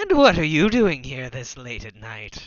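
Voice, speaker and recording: In a put-on character voice, the speaker uses a low-to-middle pitch at a moderate pace. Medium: actual play. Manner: smug, taunting.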